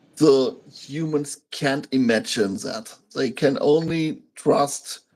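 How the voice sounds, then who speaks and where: With a German accent, a man speaks very slowly at a fairly high pitch, his intonation lively. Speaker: channel host, interviewer. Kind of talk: interview. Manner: halting.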